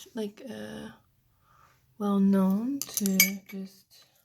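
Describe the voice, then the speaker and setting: A woman speaks softly at a medium pitch. Her intonation stays fairly even. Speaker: beauty YouTuber. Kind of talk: casual makeup tutorial talk to camera. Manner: soft-spoken.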